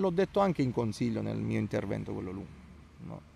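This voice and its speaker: A man's voice with lively intonation and a dry sound with no echo. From Italy. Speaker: local opposition councillor. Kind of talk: interview; interview answer. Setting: outdoors in a town park. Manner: hesitant, with fillers and repetitions. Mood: calm, reasoned political critique. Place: garden. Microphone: handheld.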